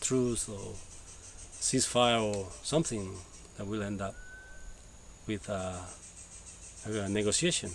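A man with a Spanish accent speaks at a fairly low pitch and a fairly slow pace with fairly even intonation. The sound is dry with no echo and light background noise. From El Salvador, Sonsonate; El Salvador. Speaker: permaculture NGO co-founder. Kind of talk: personal testimony. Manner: halting, many fillers. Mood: calm, reflective storytelling. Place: garden. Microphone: camera far.

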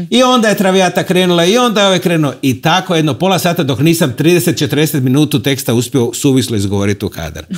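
Against a quiet background, a man races along at a very fast pace with hardly any pauses and very wide pitch swings. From Croatia, Rijeka; Croatia. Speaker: TV host and concert hall director; TV host. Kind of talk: casual interview. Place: studio. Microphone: lapel.

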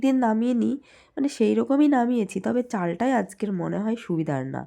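A woman's fairly high-pitched voice, dark and mellow in tone, with lively intonation against a quiet background. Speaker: vlogger, homemaker. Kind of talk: casual vlog narration.

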